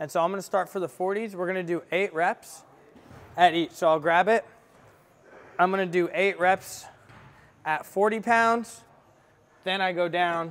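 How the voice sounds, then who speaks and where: A man with a high voice speaks at a fairly slow pace, his intonation fairly even. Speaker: fitness vlogger. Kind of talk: tutorial. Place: gym. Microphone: camera far.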